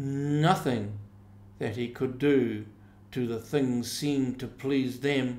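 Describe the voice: Intonation stays fairly even during this plain read-aloud.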